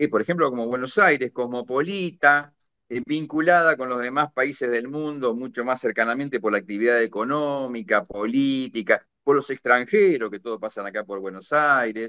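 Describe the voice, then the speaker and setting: A speaker with an Argentine accent talks in a bright, sharp tone with hardly any pauses. The sound is dry and close with no echo. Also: man, medium pitch for a man, ordinary pitch variation, moderate pace. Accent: Argentine Spanish (rioplatense voseo). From Argentina, rural interior. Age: 60s. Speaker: retired naval officer and war veteran. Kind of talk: interview conversation. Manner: hesitant with fillers.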